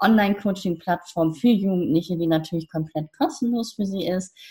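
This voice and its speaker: A woman speaks at a moderate pace with a fairly low pitch. Her voice is somewhat breathy, with ordinary pitch variation. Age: 50s. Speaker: coach, founder of youth coaching platform. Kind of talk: interview. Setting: podcast interview.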